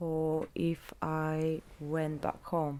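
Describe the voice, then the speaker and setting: The speaker has a Bulgarian accent. The tone is dark and mellow. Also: woman. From southern Bulgaria, small agricultural town. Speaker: interviewee, migrant. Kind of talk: oral history interview. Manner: halting, many fillers.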